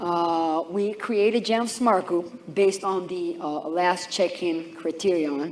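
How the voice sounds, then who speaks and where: This man has a high pitch and an Israeli accent, with ordinary pitch variation. Audible room echo surrounds his voice. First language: Hebrew. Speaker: IT engineer. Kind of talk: conference talk. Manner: halting.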